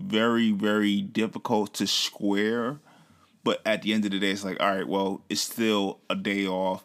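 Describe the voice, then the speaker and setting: This man talks at a moderate pace in an unremarkable speaking voice, fairly low in pitch, on a very clean recording with a silent background. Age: 30s. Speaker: podcast co-host. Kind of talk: casual chat.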